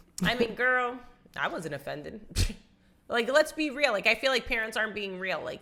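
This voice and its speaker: In a New England accent, a woman talks loudly at a moderate pace, her fairly high voice bright and sharp, her intonation lively, and her speech broken by long, frequent pauses. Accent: New England American. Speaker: podcast co-host. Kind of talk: casual chat.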